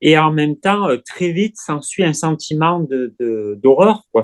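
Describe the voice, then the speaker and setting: The speech comes at a fairly slow pace with lively intonation, in a dry, close sound with no echo. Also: man. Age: 40s. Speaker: eating disorder recovery client. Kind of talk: testimony. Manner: halting.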